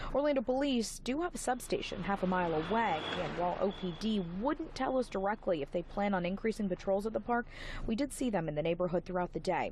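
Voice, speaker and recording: Talking at a very fast pace with hardly any pauses, a woman keeps her loudness very even and her pitch medium, with lively intonation. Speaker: television news reporter. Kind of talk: broadcast news reporter standalone.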